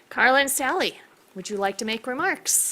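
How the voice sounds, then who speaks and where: Loud and bright with a sharp tone, a woman talks at a moderate pace with lively intonation on a very clean recording with a silent background. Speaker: county commissioner presenting awards. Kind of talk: reading aloud award citation. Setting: public hearing room.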